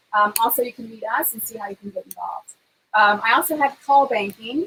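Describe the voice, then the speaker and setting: Fairly high in pitch, a woman speaks at a fairly quick pace. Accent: American. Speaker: political talk show co-host and campaign volunteer. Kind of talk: casual chat. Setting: home livestream.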